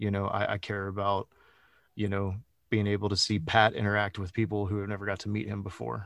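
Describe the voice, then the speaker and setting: Over a silent background on a very clean recording, a man with a Texan accent speaks fairly quickly at a fairly low pitch, his intonation fairly even. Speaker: executive protection specialist and firearms instructor. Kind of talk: interview.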